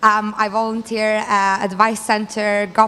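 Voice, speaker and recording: In a Lithuanian accent, a woman speaks with a fairly high pitch. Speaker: student election candidate. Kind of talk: campaign speech.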